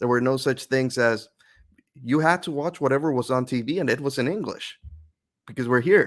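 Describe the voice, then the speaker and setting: On a very clean recording with a silent background, a man with a Spanish accent speaks at a medium pitch and moderate pace with ordinary pitch variation. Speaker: author and youtuber. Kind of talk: interview, personal story. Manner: fluent, explanatory.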